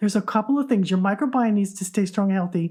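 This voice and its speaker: A woman talks in a medium pitch with a somewhat breathy quality. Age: 60s. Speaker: podcast host. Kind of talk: casual podcast monologue. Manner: conversational, with false starts.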